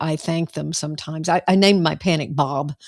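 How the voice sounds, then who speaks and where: A woman talks at a moderate pace in a very deep, low pitch with vocal fry. Her pitch varies in an ordinary way, and the sound is dry and close with no echo. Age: 70s. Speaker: clinical psychologist. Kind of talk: interview.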